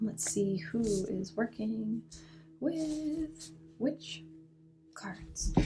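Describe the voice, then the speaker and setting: A woman whispers with music in the background. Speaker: astrologer and oracle card reader. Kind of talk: live stream card reading. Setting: live stream with chat. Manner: whispering a lot.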